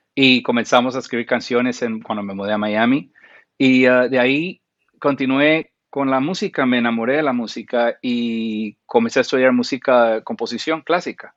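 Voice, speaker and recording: Using a plain, everyday voice, a man speaks at a moderate pace and medium pitch with ordinary pitch variation. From Central America (Guatemala, Costa Rica, Panama). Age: 40s. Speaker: film and TV composer. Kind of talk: interview.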